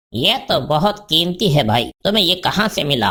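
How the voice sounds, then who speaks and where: Putting on a cartoonish character voice, a man speaks at a moderate pace in a fairly high pitch, swinging very widely in pitch while keeping his loudness very even. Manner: polite, placating.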